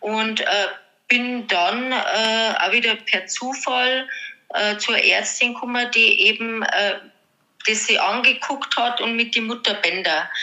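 A woman talks at a very slow pace in a fairly high pitch. Her pitch varies in an ordinary way. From Bavaria, Germany. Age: 50s. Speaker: podcast guest sharing health story. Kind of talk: personal testimony. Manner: hesitant with many fillers.

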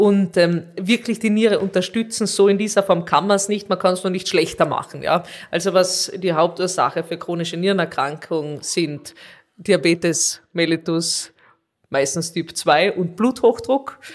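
A woman speaks with an ordinary speaking voice at a medium pitch and a moderate pace, her pitch varying ordinarily, in a very clean recording with a silent background. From Austria, Carinthia. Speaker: nephrologist. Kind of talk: interview.

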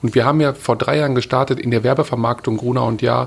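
A man talks at a very fast pace in a medium-pitched, somewhat breathy voice. His intonation stays fairly even. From Ruhr area, Germany (Witten). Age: 40s. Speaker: media executive. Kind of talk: interview.

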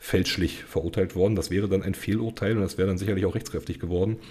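A man speaks at a very fast pace, fairly low in pitch. His intonation stays fairly even. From eastern Germany, Cottbus (Brandenburg). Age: 30s. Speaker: criminal defence lawyer. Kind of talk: interview conversation.

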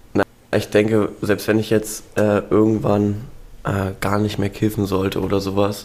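A man at a fairly slow pace with monotone, flat intonation. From Spreewald, eastern Germany. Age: 20s. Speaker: university student. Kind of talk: casual interview.

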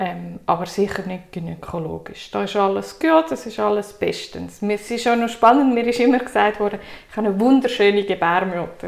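In a Swiss accent, a woman with a medium pitch speaks at a moderate pace with ordinary pitch variation. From Switzerland. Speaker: guest sharing personal story. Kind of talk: interview.

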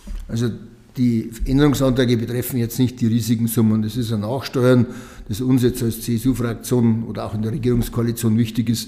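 A man's fairly quick, monotone and flat delivery in a Lower Bavarian accent. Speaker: state politician. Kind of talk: interview.

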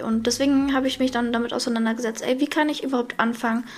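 High-pitched woman's voice with fairly even intonation. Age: 20s. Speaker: podcast host. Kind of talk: casual chat.

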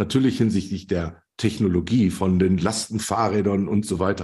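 A man speaks at a moderate pace in a fairly low pitch. His tone is dark and mellow against a quiet background. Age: 50s. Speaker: logistics expert and network founder. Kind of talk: interview.

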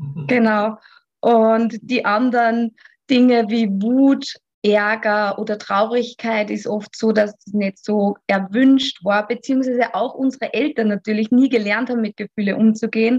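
The voice has an Austrian accent and sounds somewhat breathy, moving at a fairly slow pace with fairly even intonation. The sound is dry and close, with no echo. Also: woman, fairly high pitch for a woman. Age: 30s. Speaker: physiotherapist and yoga teacher. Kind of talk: podcast interview. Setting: remote call.

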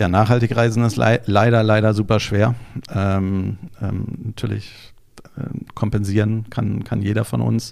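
A man speaks at a fairly low pitch with flat, monotone intonation. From Berlin, Germany. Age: 40s. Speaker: entrepreneur, travel deals platform founder. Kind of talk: interview. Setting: studio. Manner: hesitant with filler sounds.

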